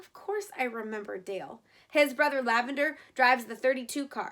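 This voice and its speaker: A woman uses a put-on character voice at a high pitch. She speaks at a moderate pace with lively intonation and big swings in loudness. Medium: read story. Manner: prim, proper.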